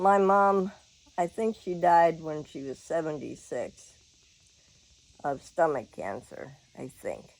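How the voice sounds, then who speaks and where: A woman with a Southern US accent talks at a very slow pace with long, frequent pauses. Her fairly low voice shows big swings in loudness. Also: ordinary pitch variation. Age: 70s. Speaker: vlogger. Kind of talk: casual chat. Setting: at home. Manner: animated.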